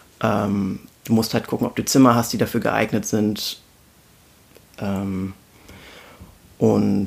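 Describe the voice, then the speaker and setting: A man's fairly low voice with vocal fry, very slow pace, monotone flat intonation, and long, frequent pauses. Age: 20s. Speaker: intensive care nurse. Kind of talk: casual conversation.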